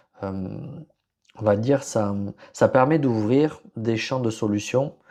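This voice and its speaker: Against a quiet background, a man talks at a very slow pace in a dark, mellow tone, his medium pitch held in fairly even intonation. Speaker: podcast host, HR and leadership consultant. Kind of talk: solo podcast presentation. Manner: hesitant, many fillers and restarts.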